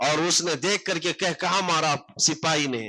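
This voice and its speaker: The man's voice has a bright, sharp tone. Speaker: Islamic scholar giving a sermon. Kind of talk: Islamic sermon (bayan) on history, addressing an audience. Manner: passionate, rhetorical, storytelling.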